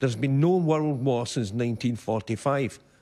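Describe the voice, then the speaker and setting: In a Scottish accent, a man talks at a moderate pace with a medium pitch and ordinary pitch variation. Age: 70s. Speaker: audience member. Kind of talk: audience question at televised debate. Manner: halting.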